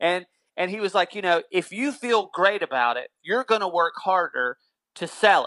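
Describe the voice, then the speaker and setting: A man's raised, projected voice with a Southern US accent, high in pitch, bright and sharp yet animated in tone, lively in intonation, dry and close with no echo against a quiet background. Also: moderate pace. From North Carolina. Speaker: musician. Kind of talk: casual chat.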